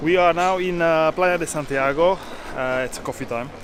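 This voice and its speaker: A man's voice amid noticeable background noise. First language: not English. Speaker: motorcycle tour vlogger. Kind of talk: casual travel vlog narration. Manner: halting, with many fillers.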